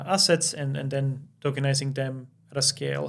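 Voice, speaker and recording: This is a man speaking. He has a Finnish accent. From Finland. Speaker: crypto company founder. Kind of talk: podcast interview. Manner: halting, many fillers.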